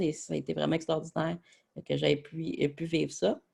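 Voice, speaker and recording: This is a man speaking. He has a Quebec accent. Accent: Québécois French. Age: 20s. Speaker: sports journalist. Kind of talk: presentation. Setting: webinar. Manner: hesitant, many filler words.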